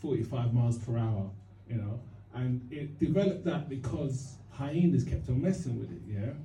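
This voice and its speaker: A man's medium-pitched, somewhat breathy voice with a dark, mellow tone and lively intonation, at a moderate pace with audible room echo. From East London. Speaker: stand-up comedian. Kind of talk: stand-up. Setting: stage with audience. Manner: halting.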